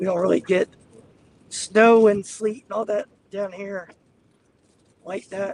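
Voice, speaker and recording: At a moderate pace, a man speaks with fairly even intonation in a dry, close sound with no echo. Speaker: storm chaser live streamer. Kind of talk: live commentary while driving. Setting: in a car. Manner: casual, chatty.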